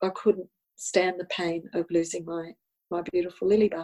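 A woman with an Australian accent speaks at a moderate pace and medium pitch, her dark, mellow tone delivered in a monotone, flat intonation. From Australia, Sydney. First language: Italian. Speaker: spiritual healer and tarot counsellor. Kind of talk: personal testimony interview.

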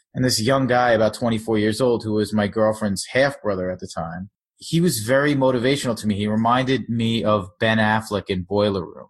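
In an unremarkable speaking voice, a man with fairly low pitch talks at a fairly quick pace with ordinary pitch variation over a quiet background. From Long Island, New York. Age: 30s. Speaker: startup founder. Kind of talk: interview.

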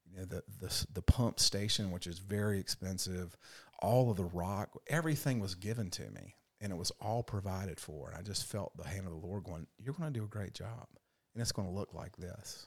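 With an unremarkable speaking voice and an American accent, a man speaks at a fairly quick pace and a fairly low pitch with ordinary pitch variation, in a dry, close, very clean recording with no echo and a silent background. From US South, Raleigh, North Carolina. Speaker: missionary. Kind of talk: interview testimony.

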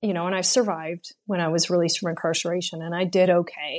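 An ordinary speaking voice from a woman, medium in pitch and at a fairly quick pace. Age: 40s. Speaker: former prisoner in recovery. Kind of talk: interview.

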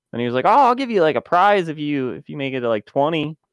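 With an unremarkable speaking voice, a man talks at a fairly quick pace and with lively intonation, in a dry, close sound with no echo against a quiet background. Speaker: game club panelist. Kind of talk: casual chat.

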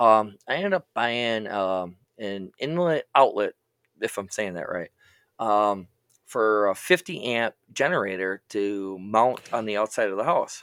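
Speaking fairly slowly in an ordinary speaking voice, a man with a fairly low pitch and lively intonation comes across on a very clean recording with a silent background and a dry, close sound with no echo. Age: 30s. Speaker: podcast co-host. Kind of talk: casual chat.

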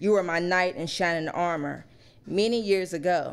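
A woman's nervous-sounding speech at a moderate pace, with ordinary pitch variation. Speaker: first-time open mic poet. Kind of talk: poet spoken word, heartfelt tribute poem read from a phone, tender and earnest. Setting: stage with live audience at poetry cafe. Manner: nervous and halting at first, then earnest, measured and tender.

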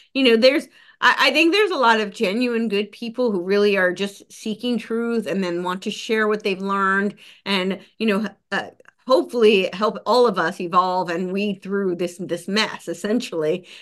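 A woman's voice sits at medium pitch with ordinary pitch variation. She goes at a moderate pace. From US, New Jersey (near New York City). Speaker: podcast host and researcher. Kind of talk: casual interview conversation. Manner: animated.

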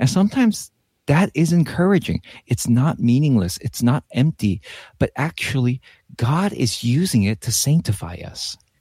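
A man with a medium-pitched, somewhat breathy voice and a dark, mellow tone speaks at a moderate pace with very wide pitch swings. The recording is very clean with a silent background and a dry, close sound with no echo. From US West Coast, Los Angeles. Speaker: pastor. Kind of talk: bible teaching in casual chat. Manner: animated.

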